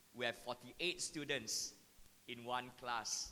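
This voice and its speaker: Loud and at a fairly slow pace, a man speaks in a medium pitch with a bright, sharp tone and fairly even intonation. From Singapore. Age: 50s. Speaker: mathematics educator. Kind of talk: talk to parents and teachers.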